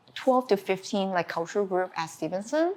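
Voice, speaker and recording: Speaking at a moderate pace in a Chinese accent, a woman's voice moves through very wide pitch swings. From China. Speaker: art teacher. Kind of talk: interview. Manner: halting.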